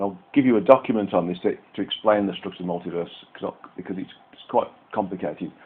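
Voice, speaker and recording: A man with a fairly low pitch speaks at a very fast pace, his loudness swinging widely. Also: ordinary pitch variation. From UK. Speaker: psychic reader and healer. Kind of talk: spiritual reading session explanation. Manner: repetitive stammering restarts.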